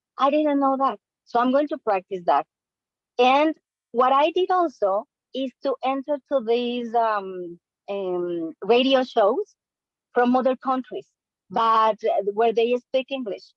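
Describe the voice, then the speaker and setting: With a Spanish accent, a woman speaks at a fairly slow pace in a high voice, using lively intonation and long, frequent pauses. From Latin America. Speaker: language learner. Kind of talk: casual chat.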